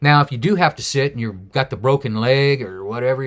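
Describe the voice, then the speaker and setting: A man's plain, everyday voice at medium pitch, with ordinary pitch variation and a moderate pace, on a very clean recording with a silent background. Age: 60s. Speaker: solo bicycle traveller and mountaineer. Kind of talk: casual talk to camera.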